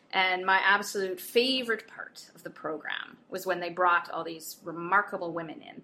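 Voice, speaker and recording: A woman speaks at a medium pitch with ordinary variation. Her tone is bright and sharp. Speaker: podcast host, corporate professional. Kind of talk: casual interview.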